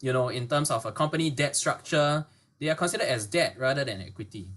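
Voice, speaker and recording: A man's fairly high, somewhat breathy voice with lively intonation and a fairly quick pace. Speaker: webinar presenter. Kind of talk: educational webinar. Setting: online webinar. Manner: fast.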